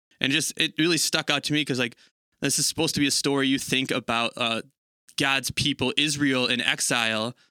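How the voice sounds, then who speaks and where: A man's plain, everyday voice, fairly high in pitch, at a moderate pace with fairly even intonation and a dry, close sound with no echo. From Italian-American. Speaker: church staff guest. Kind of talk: casual Bible discussion.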